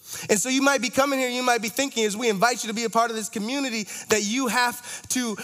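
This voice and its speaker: Amid noticeable background noise, a man with a high pitch talks at a very fast pace in an animated tone with ordinary pitch variation. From Toronto, Canada. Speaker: campus ministry associate director. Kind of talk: sermon.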